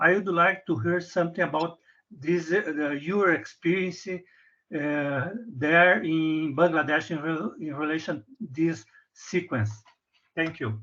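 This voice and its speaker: Over a quiet background, a man speaks at a very slow pace with a fairly high pitch. His tone is bright and sharp, and his pitch varies in an ordinary way. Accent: Portuguese. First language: Portuguese. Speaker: audience member, wheat researcher. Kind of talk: question in webinar. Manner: halting.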